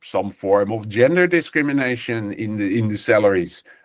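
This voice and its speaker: Over a quiet background, a man with a fairly low pitch talks at a moderate pace, his pitch swinging very widely. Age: 60s. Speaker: professor. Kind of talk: webinar lecture. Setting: video webinar from an office. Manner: halting, many fillers.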